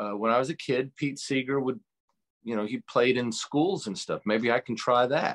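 With an American accent and an unremarkable speaking voice, a man talks at a moderate pace in a medium pitch with ordinary pitch variation, the sound dry and close with no echo over a quiet background. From New York, Hudson Valley. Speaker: radio show host and musician. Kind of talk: interview. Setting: remote from home cabin.

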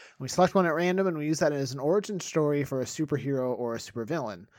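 A man has a normal speaking voice with a fairly high pitch and lively intonation. He talks at a fairly quick pace on a very clean recording with a silent background. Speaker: comedy podcast host. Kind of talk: casual comedy banter.

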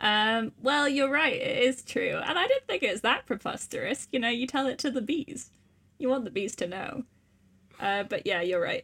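A woman with a Welsh accent speaks at a high pitch and a moderate pace. Her intonation is lively. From Wales. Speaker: podcast host. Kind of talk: casual chat.

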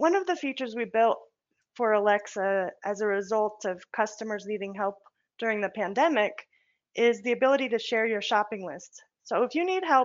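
A woman with a plain, everyday voice speaks at a moderate pace, with fairly high pitch and lively intonation. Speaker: accessibility specialist. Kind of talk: product presentation.

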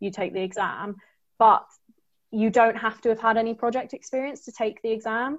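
A woman's plain, everyday voice at a moderate pace with fairly even intonation. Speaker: tech graduate trainee. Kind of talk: webinar panel talk.

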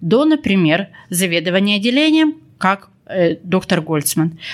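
This woman's pitch swings very widely. She talks fairly slowly. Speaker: podcast host. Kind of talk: interview. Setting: recorded in a hospital.

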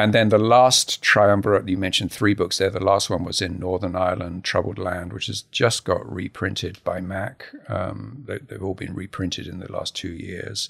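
Very deep and low in pitch, a man speaks at a moderate pace with fairly even intonation and hardly any pauses. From England, Harlow. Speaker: photographer. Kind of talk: interview.

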